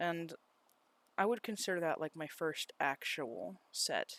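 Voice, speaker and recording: A man speaks at a very slow pace. The sound is dry and close with no echo, in a very clean recording with a silent background. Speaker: YouTuber. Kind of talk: casual narrated commentary. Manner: lip smacking; rambling, tangent-prone casual delivery.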